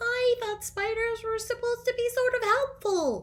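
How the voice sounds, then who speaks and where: Squeaky, put-on character voice from a woman, extremely high in pitch, with monotone, flat intonation. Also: moderate pace. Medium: read story.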